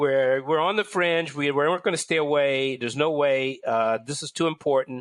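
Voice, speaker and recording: Against a quiet background, a man with an American accent and a medium pitch speaks at a moderate pace. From US, Washington DC. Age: 60s. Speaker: magazine editor. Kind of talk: interview conversation. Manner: halting, many fillers.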